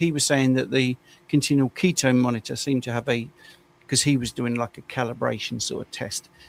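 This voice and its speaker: A man with an English accent, medium pitch, ordinary pitch variation, moderate pace, dry and close sound with no echo. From England. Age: 60s. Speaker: carnivore diet coach. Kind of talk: casual chat. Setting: live stream.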